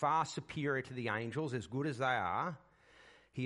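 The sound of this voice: The delivery is an unforced reading voice.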